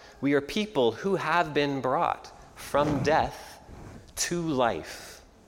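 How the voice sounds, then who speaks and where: A very slow Canadian accent over noticeable background noise. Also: man, fairly high pitch for a man, ordinary pitch variation. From Canada. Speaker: pastor. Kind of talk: sermon. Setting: church.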